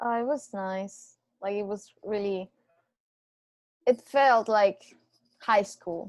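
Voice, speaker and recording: Speaking at a very slow pace with long, frequent pauses, a woman keeps her intonation fairly even while her loudness swings widely. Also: medium pitch for a woman. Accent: Venezuelan. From Venezuela, Andes region. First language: Spanish. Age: 20s. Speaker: podcast guest. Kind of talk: casual chat. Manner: halting.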